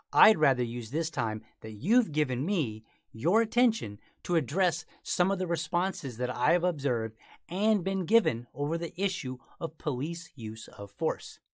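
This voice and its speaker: A man's pitch swings very widely as he talks at a medium tempo, with the background quiet. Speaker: podcast host. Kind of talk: podcast monologue.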